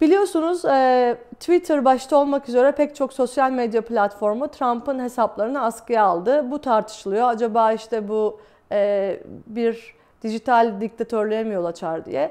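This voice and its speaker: A woman's high-pitched voice with a dark, mellow tone, at a fairly slow pace. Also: quiet background. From Turkey. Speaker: exiled journalist, video blogger; journalist. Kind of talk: solo talk to camera, commentary; commentary. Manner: many hesitation fillers. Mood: calm, serious. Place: home room.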